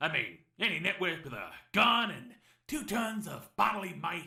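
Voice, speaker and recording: At a moderate pace, a man performs a cartoonish character voice. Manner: rambling, wisecracking.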